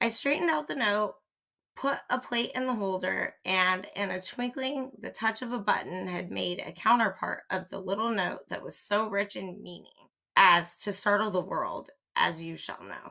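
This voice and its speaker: A woman puts on a raspy character voice at medium pitch. Her pace is moderate. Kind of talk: period mystery reading. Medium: read story.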